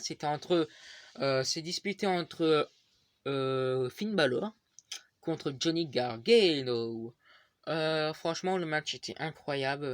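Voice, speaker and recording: Ordinary pitch variation, with dry, close sound, no echo and a quiet background. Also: man. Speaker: wrestling YouTuber. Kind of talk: show review. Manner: halting, many fillers.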